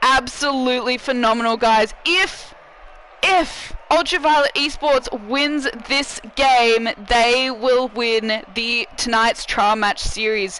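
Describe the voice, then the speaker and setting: The speech comes at a very slow pace against noticeable background noise. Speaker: esports commentator. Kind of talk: live commentary. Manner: animated.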